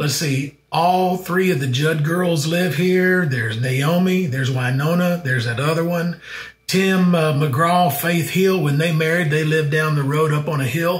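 A man with an ordinary speaking voice, fairly high pitched, at a fairly slow pace with hardly any pauses, ordinary pitch variation and very even loudness. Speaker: travel show host. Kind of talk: travel vlog narration.

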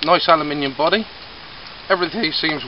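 There is noticeable background noise, and the sound is dry without echo. A man speaks fairly quickly. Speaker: product reviewer. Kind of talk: casual review vlog. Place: forest. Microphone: camera far.

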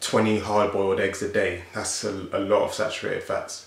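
A man with a South London accent speaks at a moderate pace. Audible room echo surrounds his voice. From South London, England. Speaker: fitness youtuber and bodybuilder; fitness youtuber. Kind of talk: casual Q&A vlog. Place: home room.

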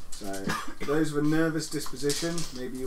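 Someone speaks at a moderate pace over noticeable background noise. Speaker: game master. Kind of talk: tabletop roleplay session. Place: home room.

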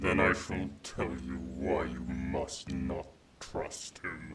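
Very slow and flat, a man speaks in a very deep, low voice with vocal fry and monotone intonation. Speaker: ASMR roleplay performer. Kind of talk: roleplay ASMR, bedtime-story style, dragon character addressing listener as mortal. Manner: slow, soft, possessive and seductive, menacing yet tender, with teasing laughs; formal, archaic and haughty dragon persona.

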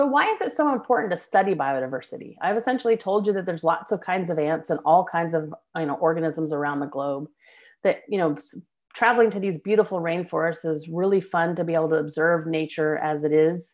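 A quiet background lies behind the voice. Words come out at a very fast pace. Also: woman, fairly low pitch for a woman, ordinary pitch variation. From US South. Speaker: biology professor. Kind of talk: lecture. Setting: video call. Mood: warm, personal storytelling. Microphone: webcam.

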